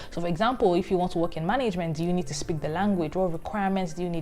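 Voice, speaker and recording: A woman at a fairly low pitch and very fast pace, with music in the background. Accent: Nigerian. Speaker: career vlogger. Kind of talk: vlog advice.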